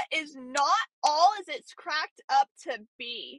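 Raised and projected, a woman's high-pitched voice carries an animated tone with ordinary pitch variation. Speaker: podcast host. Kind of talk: casual chat. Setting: in a car.

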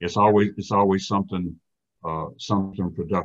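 Over a quiet background, a man talks in a fairly low pitch. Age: 60s. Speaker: astrologer. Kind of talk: casual interview.

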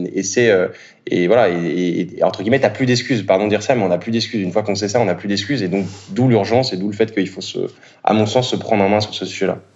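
A man races along at a very fast pace, his fairly low voice holding fairly even intonation. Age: 30s. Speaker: startup co-founder. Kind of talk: interview. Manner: halting.

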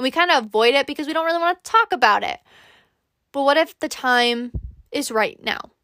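On a very clean, dry, close recording with a silent background and no echo, a woman speaks in a high, bright, sharp, raised and projected voice, animated in tone with lively intonation, at a fairly quick pace broken by long, frequent pauses. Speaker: podcast host. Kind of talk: pep talk. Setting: solo recording. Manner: warm, earnest.

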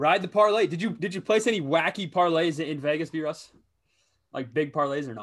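A man speaks with an American accent in a normal speaking voice, pitched fairly high. His pace is fairly quick and his intonation lively. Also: big swings in loudness. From Minnesota. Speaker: sports betting podcast host. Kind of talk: casual chat.

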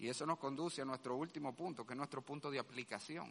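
A bright, sharp tone delivered at a fairly quick pace. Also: man. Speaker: pastor. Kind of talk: sermon. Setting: church. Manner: loud; animated.

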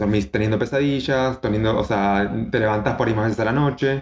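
A man is speaking here. His pace is fairly quick, with ordinary pitch variation. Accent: Argentine. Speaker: biotechnologist and nutrition coach. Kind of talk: casual chat.

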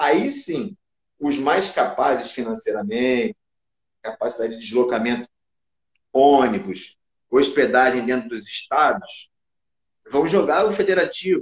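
Long, frequent pauses break up speech delivered at a fairly slow speed. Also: man. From Brazil, Rio de Janeiro. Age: 40s. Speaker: basketball coach. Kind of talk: casual interview chat. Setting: online live stream.

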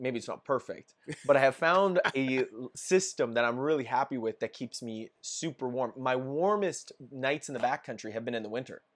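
A man speaks with a western Canadian accent. The recording is very clean, with a silent background. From Canada, Edmonton. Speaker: outdoor gear YouTuber. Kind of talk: casual chat.

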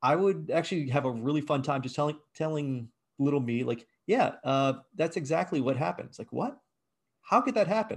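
With an American accent and an ordinary speaking voice, a man speaks at a moderate pace with a fairly high pitch and lively intonation against a quiet background. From Virginia, US, raised partly abroad. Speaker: game design professor and game studio founder. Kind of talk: interview.

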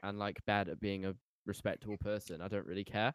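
With a British accent, a man speaks at a fairly quick pace in a fairly low pitch, the sound dry and close with no echo. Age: 18. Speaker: podcast host and musician. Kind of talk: casual chat.

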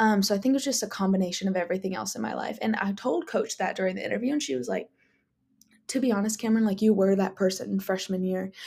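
A woman's somewhat breathy, dark, mellow voice at a medium pitch, with ordinary pitch variation and a very fast pace. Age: 20s. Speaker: podcast host, college student. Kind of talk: casual solo podcast chat.

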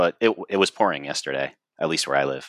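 A man talks at a fairly quick pace with lively intonation and vocal fry. The sound is dry and close, with no echo. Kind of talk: casual chat. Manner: casual, filler-heavy.

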